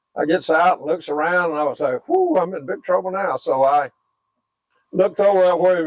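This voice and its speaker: In a Southern US accent, a man talks at a fairly quick pace with a high pitch and ordinary pitch variation, recorded with a dry, close sound and no echo. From US South, northwest Florida. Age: 80s+. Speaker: war veteran. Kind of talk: oral history interview. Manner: halting.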